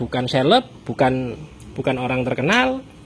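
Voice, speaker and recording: With a strong Javanese accent, a man speaks at a medium pitch and a moderate pace. Noticeable background noise sits behind him. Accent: strong Javanese (medok). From East Java (Surabaya). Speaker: food vlogger. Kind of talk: casual chat.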